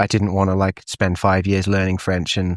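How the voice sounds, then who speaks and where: With a Welsh accent and a fairly low voice, a man talks at a moderate pace in a dry, close sound with no echo, on a very clean recording with a silent background. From Wales, Llandrindod area. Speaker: ski patroller and photographer. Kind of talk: casual chat. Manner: casual, lots of fillers.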